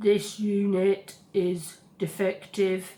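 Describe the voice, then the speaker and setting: A woman's put-on character voice, medium in pitch, with monotone, flat intonation. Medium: read story. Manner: mechanical, commanding.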